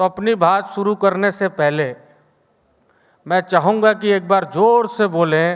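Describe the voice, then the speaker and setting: Keeping a very even loudness, a man talks at a high pitch with fairly even intonation. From Uttar Pradesh, Pilibhit (north India). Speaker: state government minister, keynote speaker. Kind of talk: keynote speech. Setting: conference stage with audience, hotel in New Delhi. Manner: rousing, addresses audience with call-and-response.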